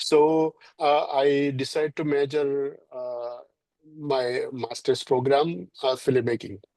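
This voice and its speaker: A man with a Keralan accent speaks at a very slow pace in a fairly high pitch, his tone dark and mellow and his intonation fairly even. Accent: Indian (Malayali) English. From India, Kerala. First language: Malayalam. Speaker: filmmaker. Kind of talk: interview. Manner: halting, many fillers.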